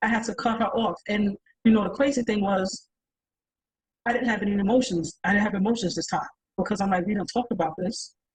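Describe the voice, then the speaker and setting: The speaker sounds animated and somewhat breathy, talking at a very fast pace. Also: woman. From New York. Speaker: podcast panelist. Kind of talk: panel discussion.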